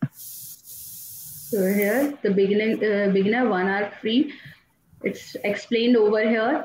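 A woman speaks very slowly at a fairly high pitch, with audible room echo and light background noise. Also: ordinary pitch variation. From India. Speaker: teacher and tool trainer; teacher, tool trainer. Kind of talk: software tutorial. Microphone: video call.

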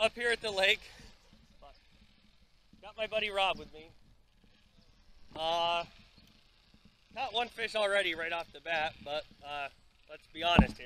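Pausing long and often, a man speaks at a fairly slow pace in a bright, sharp tone with ordinary pitch variation and big swings in loudness, the sound dry with no echo and light background noise behind him. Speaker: angler vlogger. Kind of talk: casual vlog chat. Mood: relaxed, joking. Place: boat. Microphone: phone near.

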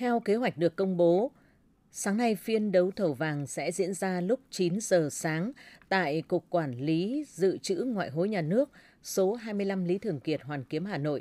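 A dark, mellow tone with lively intonation. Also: woman, medium pitch for a woman, fairly slow pace, dry sound with no echo. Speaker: radio news presenter. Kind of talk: news reading. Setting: studio. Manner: formal. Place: studio.

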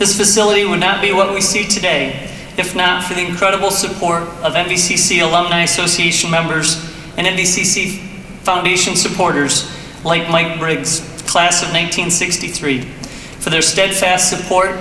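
Over light background noise and audible room echo, a man talks at a moderate pace in a high, flat monotone. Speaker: college president, ceremony host. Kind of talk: formal ceremony speech. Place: hall. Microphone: podium.

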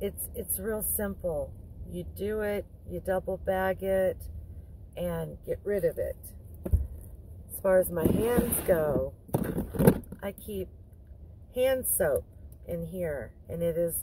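Speaking at a very slow pace with long, frequent pauses, a woman is heard over noticeable background noise in a dry sound with no echo. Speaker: van life vlogger. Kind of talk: casual tutorial vlog chat. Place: car. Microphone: phone near.

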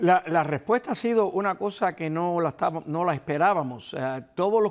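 A moderate pace with a Cuban accent, over a quiet background. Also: man. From eastern Cuba (Guantánamo, Holguín). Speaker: retired police officer and book co-author; guest. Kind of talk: interview. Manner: halting, repeats words. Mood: reflective, recounting exile. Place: studio. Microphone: lapel.

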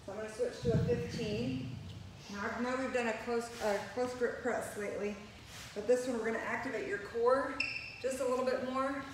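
Over noticeable background noise and audible room echo, a woman talks at a moderate pace in a high voice with ordinary pitch variation. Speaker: fitness instructor. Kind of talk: workout instruction. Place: gym. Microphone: camera far.

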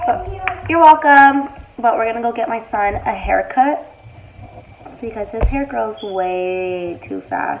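A woman speaks at a very slow pace with a fairly high pitch and very wide pitch swings. Light background noise is present. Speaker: YouTuber, mother; YouTuber. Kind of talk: eating show vlog. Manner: casual, talking while eating. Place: home room. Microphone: earbuds.

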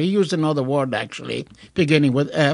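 The man keeps a moderate pace and ordinary pitch variation. Behind him, the background stays quiet. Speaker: radio show co-host. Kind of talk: storytelling. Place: studio.

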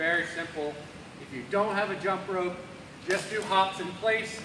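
A man is talking at a moderate pace. Background noise is noticeable. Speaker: fitness coach. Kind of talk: workout instruction. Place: gym. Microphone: camera far.

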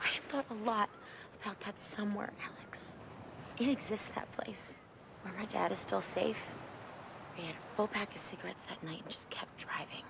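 A woman whispers at a moderate pace, leaving long, frequent pauses, her loudness swinging widely. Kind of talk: dramatic film dialogue. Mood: quiet, reflective, sad memory. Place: beach.

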